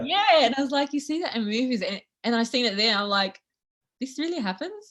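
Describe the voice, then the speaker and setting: Someone with an Australian accent talks at a fairly quick pace, pitch swinging very widely. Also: woman, high pitch for a woman. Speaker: social media content creator. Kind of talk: interview answer. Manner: casual, chatty.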